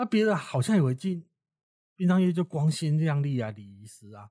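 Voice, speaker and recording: A man's fairly high, dark and mellow voice with a Taiwanese accent, somewhat breathy, at a moderate pace with very wide pitch swings, recorded dry and close with no echo in a very clean, silent setting. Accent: Taiwanese Mandarin. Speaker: funeral worker and author. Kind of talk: interview conversation.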